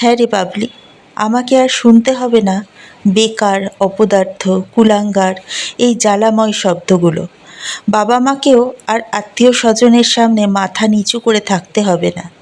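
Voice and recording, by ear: Using a put-on character voice, a woman sounds shaky at a fairly high pitch and a moderate pace.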